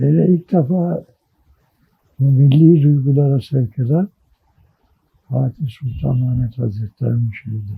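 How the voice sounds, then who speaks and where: At a very slow pace, a man with a medium pitch and a dark, mellow tone sounds somewhat breathy, his intonation lively. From Istanbul, Turkey. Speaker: journalist and writer. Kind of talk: oral history interview.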